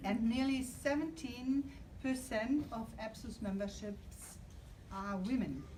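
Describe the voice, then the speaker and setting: Amid noticeable background noise and audible room echo, a woman talks at a very slow pace in a fairly high pitch with ordinary pitch variation. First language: not English. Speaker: trade union leader. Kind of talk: conference speech.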